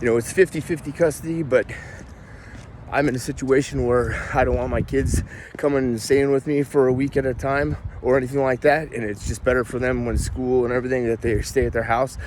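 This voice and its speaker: Over noticeable background noise, a man talks at a fairly quick pace in a medium pitch with fairly even intonation. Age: 40s. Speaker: vlogger. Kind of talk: personal vlog monologue. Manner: casual.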